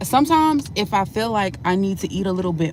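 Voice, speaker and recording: A woman's intonation stays lively while noticeable background noise carries on around her. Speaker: vlogger. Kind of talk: casual vlog. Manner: fast, chatty.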